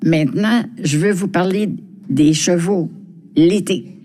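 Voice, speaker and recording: This woman's fairly low voice carries a lively intonation. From Quebec, Montreal (Villeray). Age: 90s. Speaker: senior resident sharing memories. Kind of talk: personal reminiscence.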